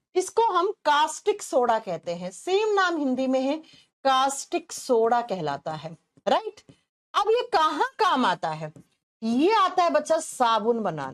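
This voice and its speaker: A woman speaks at a very slow pace with a high pitch. Her pitch swings very widely and her loudness shifts greatly. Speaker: chemistry teacher for exam prep. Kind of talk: online lecture.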